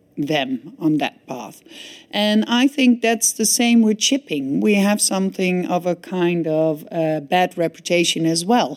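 With a Dutch accent, a woman speaks at a fairly slow pace, her pitch swinging very widely. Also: medium pitch for a woman. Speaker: shipping industry association director. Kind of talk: interview. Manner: hesitant, many fillers.

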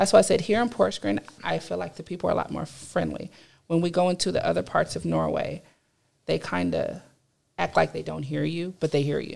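A fairly quick pace with a Californian accent. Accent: Californian American English. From Los Angeles area, California. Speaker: university student. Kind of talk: casual discussion. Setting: studio.

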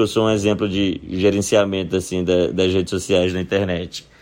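Monotone, flat intonation at a fairly slow pace. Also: man. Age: 30s. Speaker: comedian. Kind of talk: recorded monologue answering questions.

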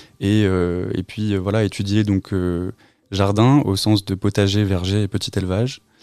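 At a fairly slow pace, a man speaks in a dark, mellow tone with a fairly low pitch and flat, monotone intonation. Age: 20s. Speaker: rural development agent. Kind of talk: interview. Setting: studio. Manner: halting.

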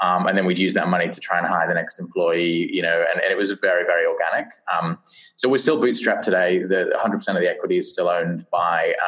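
Someone talks at a very fast pace. There is noticeable background noise. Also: man. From UK. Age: 30s. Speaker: startup founder and CEO. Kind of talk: interview. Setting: remote recording from Portland. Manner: halting, many fillers.

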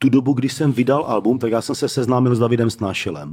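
A man's dark, mellow voice at a medium pitch comes through on a very clean recording against a silent background. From Czech Republic, Zlín (Moravia). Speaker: rapper. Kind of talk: casual chat.

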